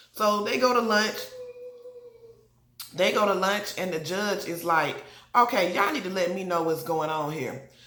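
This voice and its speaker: Long, frequent pauses and ordinary pitch variation come through audible room echo and noticeable background noise. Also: woman, medium pitch for a woman. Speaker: TV show reviewer. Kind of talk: casual TV recap. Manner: fast; animated.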